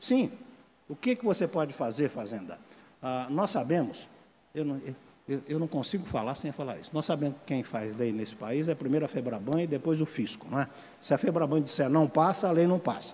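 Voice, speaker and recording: The voice has a dark, mellow tone, lively intonation, big swings in loudness and a moderate pace. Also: man, fairly high pitch for a man. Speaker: legal expert panelist. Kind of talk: conference panel talk. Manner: halting, repeated filler words.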